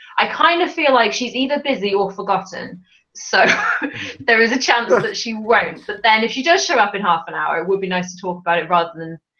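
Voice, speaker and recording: An American-accented woman talks at a fairly quick pace and medium pitch, her pitch swinging very widely and her loudness shifting a great deal. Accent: British with an American tinge, faint Welsh. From Wales. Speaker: live stream host. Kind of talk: casual chat.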